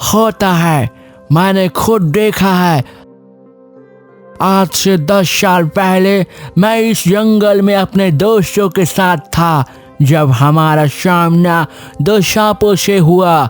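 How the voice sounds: A man does a cartoonish character voice at a high pitch. He speaks very slowly, with faint music in the background.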